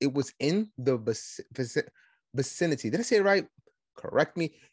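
In a New York accent, a man talks at a fairly quick pace in an animated tone with lively intonation. The sound is dry and close with no echo over a quiet background. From Brooklyn, New York. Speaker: podcast host, conservative commentator. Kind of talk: solo political commentary monologue. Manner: fast talker, aggressive, animated.

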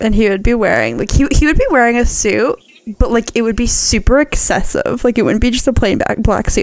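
Over noticeable background noise, a woman with a Canadian accent talks at a fairly quick pace. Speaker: podcast co-host. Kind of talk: casual chat.

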